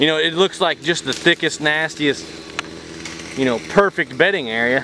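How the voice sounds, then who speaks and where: A man talks at a moderate pace with noticeable background noise and a dry sound with no echo. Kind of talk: outdoor tutorial vlog. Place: forest. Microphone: phone near.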